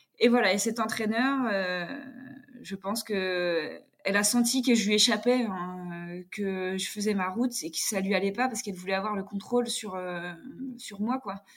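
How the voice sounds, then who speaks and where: A woman speaks at a fairly slow pace in an unremarkable speaking voice. Her pitch is medium and her intonation fairly even. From France, Jura. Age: 30s. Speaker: table tennis player. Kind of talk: casual chat.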